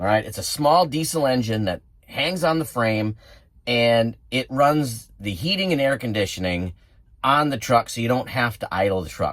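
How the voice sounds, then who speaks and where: A man talks with a Wisconsin accent. His pitch is medium and his pace moderate. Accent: Wisconsin accent, noticeable. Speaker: truck driver and outdoors vlogger. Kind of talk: casual vlog narration. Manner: casual, conversational.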